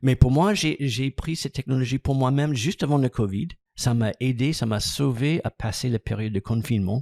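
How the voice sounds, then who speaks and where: A man's dark, mellow voice in an English accent, moderate pace, ordinary pitch variation, dry and close with no echo. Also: medium pitch for a man. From United States. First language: English (speaking French). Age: 60s. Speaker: massage business founder and trainer. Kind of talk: podcast interview.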